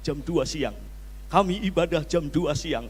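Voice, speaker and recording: At a fairly slow pace, a man speaks with audible room echo around him. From Java, Indonesia. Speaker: pastor. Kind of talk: sermon. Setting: church. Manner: animated.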